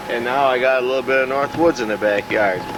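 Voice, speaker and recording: A man with a Minnesota accent, medium-pitched, with ordinary pitch variation and a moderate pace, against noticeable background noise. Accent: Upper Midwest (Minnesota) American. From Minnesota, US Upper Midwest (Columbia Heights). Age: 60s. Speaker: retiree interviewed about his life. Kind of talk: casual oral-history interview. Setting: outdoors in backyard garden.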